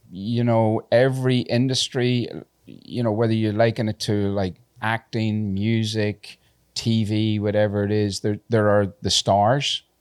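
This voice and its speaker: Speaking at a fairly slow pace in a Northern Irish accent, a man keeps a fairly low pitch and a monotone, flat intonation. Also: dry, close sound with no echo. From Northern Ireland, Belfast. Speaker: tattoo convention organizer. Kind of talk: podcast interview. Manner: halting.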